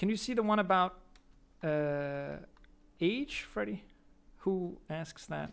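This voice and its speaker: A man speaks with a Danish accent in a high pitch and lively intonation. His pace is very slow, with long, frequent pauses. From Denmark. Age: 20s. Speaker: streamer and YouTuber. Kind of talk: casual chat. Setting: live stream. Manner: hesitant with fillers.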